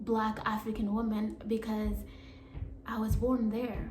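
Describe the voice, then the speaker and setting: A woman with a fairly high pitch speaks at a fairly slow pace amid audible room echo. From Africa. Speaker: YouTuber. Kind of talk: vlog monologue. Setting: alone at home.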